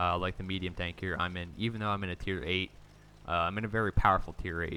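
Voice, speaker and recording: A man with a very deep, low pitch talks at a very fast pace with fairly even intonation. The recording is very clean, with a silent background. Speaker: gaming commentator. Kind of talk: gameplay commentary. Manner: conversational, with fillers.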